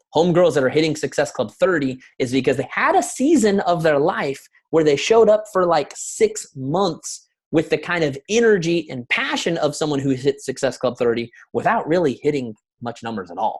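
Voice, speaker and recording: A man at a fairly high pitch, animated in tone, with lively intonation. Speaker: network marketing coach. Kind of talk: motivational talk. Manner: fast.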